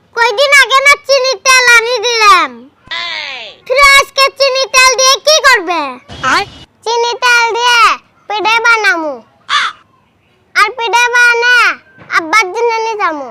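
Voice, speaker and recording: Fairly slow, extremely high-pitched put-on character voice from a woman, with ordinary pitch variation. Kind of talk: rustic comic acting. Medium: comedy sketch.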